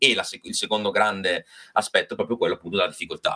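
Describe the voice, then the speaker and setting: Here a man speaks at a fairly quick pace. His tone is bright and sharp. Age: 40s. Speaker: macabre artist and bone collector. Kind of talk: casual chat.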